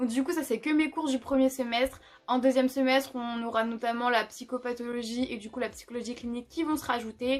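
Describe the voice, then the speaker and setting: A woman speaks at a high pitch and a fairly quick pace. Her intonation is monotone and flat. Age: 20s. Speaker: psychology student. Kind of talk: casual talk to camera.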